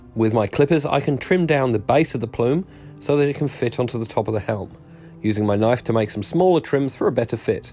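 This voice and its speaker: A man speaks at a fairly quick pace with ordinary pitch variation. Music plays in the background. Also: medium pitch for a man. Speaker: miniature hobbyist. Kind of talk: hobby tutorial voiceover.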